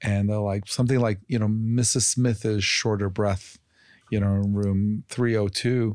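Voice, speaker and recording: On a very clean recording with a silent background, a man with an unremarkable speaking voice talks at a fairly low pitch and a fairly slow pace, with fairly even intonation and very even loudness. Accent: American. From Chicago, US Midwest. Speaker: physician and health company executive. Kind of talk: interview.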